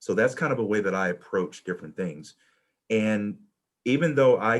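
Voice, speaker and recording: On a very clean recording with a silent background, a man with a Southern US accent speaks at a fairly quick pace and fairly low pitch with lively intonation. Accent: Southern US, noticeable to a Midwest audience. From US South. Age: 40s. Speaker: college administrator and panelist. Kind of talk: panel talk sharing personal experience. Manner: halting, many fillers and repetitions.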